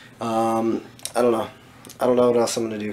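A man is speaking. There is light background noise behind him. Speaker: fitness vlogger. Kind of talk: casual vlog chat. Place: home room. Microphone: phone near.

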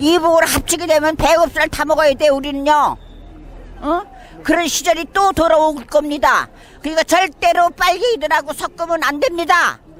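With crowd noise in the background, a woman speaks at an extremely high pitch, at a moderate pace with fairly even intonation. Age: 70s. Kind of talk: street interview answer.

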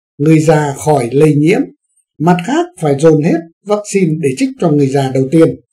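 Over a quiet background, a man with a fairly high pitch and a dark, mellow tone speaks at a fairly slow pace. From Vietnam. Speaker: news commentary host; news commentator. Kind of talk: current affairs commentary. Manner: formal.

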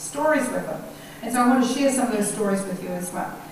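A high-pitched woman's voice with ordinary pitch variation, strong room echo and light background noise. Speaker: guest lecturer. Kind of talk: lecture. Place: hall.

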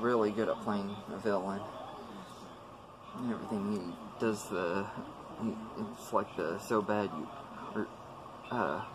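Intonation barely shifts, staying fairly even. The delivery has a fairly slow pace. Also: man.

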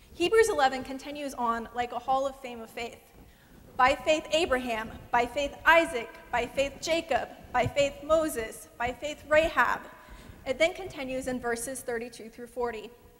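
The speech moves at a fairly slow pace with ordinary pitch variation. Loudness swings widely throughout. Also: woman, high pitch for a woman. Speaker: guest preacher. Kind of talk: sermon. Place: church. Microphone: lapel.

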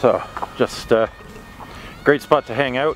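A man speaks with ordinary pitch variation over faint background music. The sound is dry, with no echo. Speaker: vlogger. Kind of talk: casual vlog chat. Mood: relaxed, cheerful. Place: forest. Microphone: phone near.

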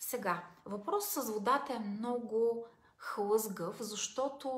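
A woman speaks in a somewhat breathy voice with ordinary pitch variation. Room echo is audible around her. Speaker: self-help vlogger. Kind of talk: casual advice talk. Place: home room. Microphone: phone near.

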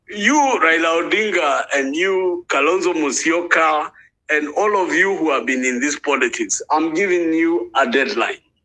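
Speaking with a Kenyan accent, a high-pitched man has a bright, sharp tone, ordinary pitch variation and very even loudness. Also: moderate pace. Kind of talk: rally speech, fiery political oration. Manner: loud, impassioned, urgent; repetitive, declamatory, switches between English and Swahili.

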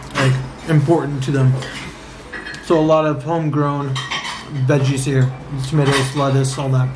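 Against noticeable background noise, a man talks in a monotone, flat way. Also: moderate pace. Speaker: food vlogger. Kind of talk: casual food review chat. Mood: relaxed, friendly. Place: cafe. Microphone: phone near.

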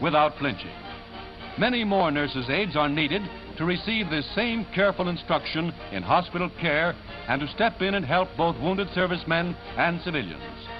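Over clear music in the background, a man speaks at a moderate pace with a high pitch. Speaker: newsreel narrator. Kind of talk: 1940s newsreel recruitment ad narration. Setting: vintage newsreel recording. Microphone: old recording.

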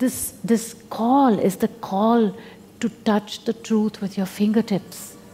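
A woman speaking at a very slow pace over music in the background. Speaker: spiritual teacher. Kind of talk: spiritual talk to an audience. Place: hall.

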